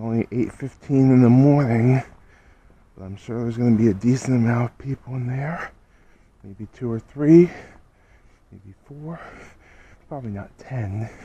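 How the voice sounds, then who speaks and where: A man's dark, mellow voice at a moderate pace, with ordinary pitch variation, big swings in loudness, long, frequent pauses, and dry sound with no echo. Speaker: vlogger walking. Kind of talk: casual vlog chat. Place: street. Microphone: phone near.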